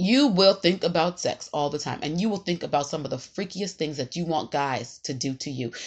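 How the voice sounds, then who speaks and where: Animated in tone, a woman talks at a fairly quick pace. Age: 30s. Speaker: podcast host. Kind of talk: casual monologue.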